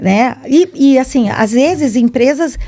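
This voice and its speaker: Lively intonation marks this woman's speech. Her tone is dark and mellow. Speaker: salesperson and entrepreneur. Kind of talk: podcast interview. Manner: animated.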